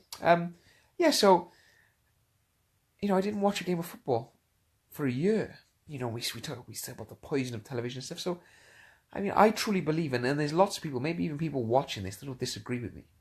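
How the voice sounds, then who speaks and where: A man with a fairly high voice talks very fast, his pitch swinging very widely and his loudness rising and falling sharply, somewhat breathy, with long, frequent pauses. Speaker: motivational speaker and coach. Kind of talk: casual live-stream talk. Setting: lying in bed, Facebook live stream. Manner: hesitant, many fillers and repetitions; whispering at first.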